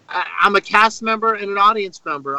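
A man projects a raised voice with a bright, sharp tone and a high pitch. He moves at a fairly quick pace, and the sound is dry and close with no echo. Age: 50s. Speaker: rock drummer. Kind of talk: casual chat.

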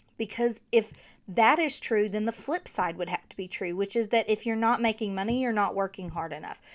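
A woman with a strong Southern US accent, fairly high-pitched, animated in tone, with big swings in loudness, ordinary pitch variation and a fairly quick pace. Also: very clean recording, silent background. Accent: thick Southern. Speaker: podcast host, marketing coach. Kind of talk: casual solo podcast talk. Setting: home studio with USB mic.

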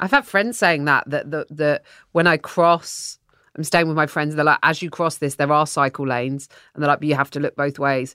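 In an English accent, a woman speaks at a moderate pace with a very deep, low pitch, a bright, sharp tone and fairly even intonation. The recording is very clean, with a silent background and a dry, close sound with no echo. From England. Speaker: comedian. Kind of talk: casual chat.

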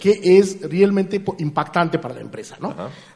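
A man talks in a high voice, with noticeable background noise in the recording. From India. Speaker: artificial intelligence expert. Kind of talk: interview. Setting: live forum event with audience. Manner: halting, repeats words.

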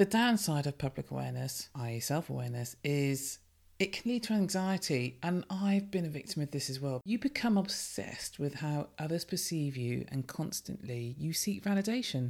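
A woman with a very deep, low pitch speaks at a moderate pace with hardly any pauses, her pitch swinging very widely. The recording is very clean, the background silent. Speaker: podcast host. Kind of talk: solo podcast monologue. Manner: commanding; animated.

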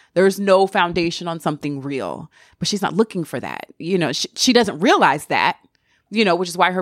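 In an American accent, a woman with a fairly low voice and ordinary pitch variation speaks at a fairly quick pace, recorded very cleanly with a silent background and a dry, close sound with no echo. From US South. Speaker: TV personality. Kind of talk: casual interview chat.

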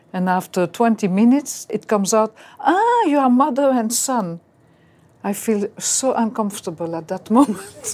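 A woman with a French accent speaks at a moderate pace. Her fairly high voice has lively intonation. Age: 60s. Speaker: real estate business owner. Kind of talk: counseling session.

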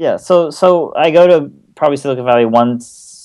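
A man with an American accent and lively intonation, at a moderate pace. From Japan, Kobe. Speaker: venture investor. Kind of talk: interview.

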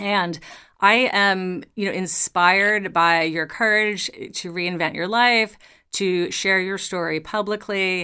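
Using a very slow pace, a woman speaks at medium pitch with a bright, sharp tone and fairly even intonation in a very clean recording with a silent background. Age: 50s. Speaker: podcast host. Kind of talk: interview.

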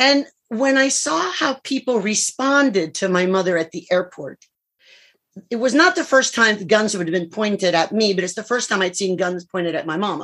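A woman with a Cuban-American accent, fairly high pitch and lively intonation, in a very clean recording with a silent background. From US, Florida (Cuban-born). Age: 60s. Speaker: clinical psychologist and public speaker. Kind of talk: interview. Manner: lively, animated.

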